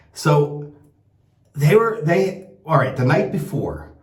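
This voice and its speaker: With an American accent, a man speaks at a fairly slow pace in a somewhat breathy voice, his pitch swinging very widely amid audible room echo. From United States. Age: 60s. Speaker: shaving product maker and vlogger. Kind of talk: casual vlog monologue. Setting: travelling in Italy. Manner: rambling, with many repeated words and fillers.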